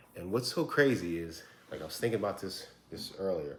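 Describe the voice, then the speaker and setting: A man talks quietly at a moderate pace. His pitch is very deep and low. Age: 40s. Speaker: vlogger sharing adoption story. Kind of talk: personal testimony to camera. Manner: halting, with repeated words.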